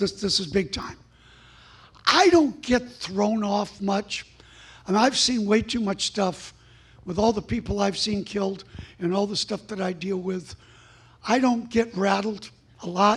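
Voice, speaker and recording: A man with a high pitch speaks at a fairly slow pace, leaving long, frequent pauses. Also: ordinary pitch variation. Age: 60s. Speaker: preacher. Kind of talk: sermon. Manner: animated.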